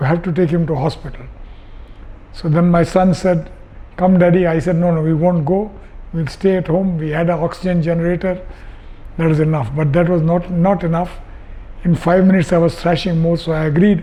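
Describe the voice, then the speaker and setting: A man with a high voice talks at a fairly quick clip with fairly even intonation, leaving long, frequent pauses over noticeable background noise. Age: 80s+. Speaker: patient, retired sea captain. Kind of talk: testimony. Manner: halting.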